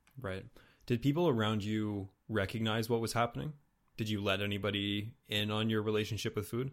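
On a very clean recording with a silent background, a man with an eastern Canadian accent speaks at a fairly low pitch and fairly quick pace with ordinary pitch variation. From New Brunswick, Canada. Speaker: podcast host. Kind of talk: casual interview chat. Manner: casual, self-deprecating, laughs often.

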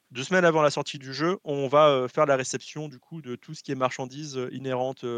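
The plain, everyday voice moves at a moderate pace with fairly even intonation, sounding dry and close with no echo over a quiet background. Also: man. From French Guiana. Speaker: video game company logistics specialist. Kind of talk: casual chat.

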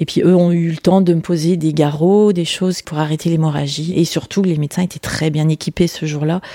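In a monotone, flat intonation, a woman speaks with a fairly low pitch. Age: 50s. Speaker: accident survivor. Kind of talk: testimony.

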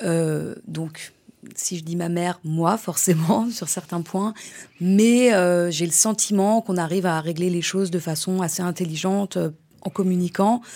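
Speaking at a fairly slow pace, a woman has a dark, mellow tone, a fairly low pitch and fairly even intonation. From France, Polish-Iranian parents. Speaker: mother. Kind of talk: personal testimony.

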